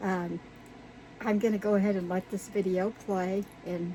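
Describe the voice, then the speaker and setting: A woman with a dark, mellow tone and a somewhat breathy voice talks at a moderate pace, using a medium pitch and fairly even intonation. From Virginia, US South. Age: 60s. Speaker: YouTuber, resin crafter. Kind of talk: casual vlog. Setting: outdoor she shed. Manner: casual, halting with fillers.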